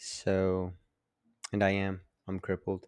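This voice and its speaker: Here a man mumbles. The recording is very clean and dry, close with no echo, over a silent background. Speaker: podcast host. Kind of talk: casual monologue. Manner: mumbling; halting.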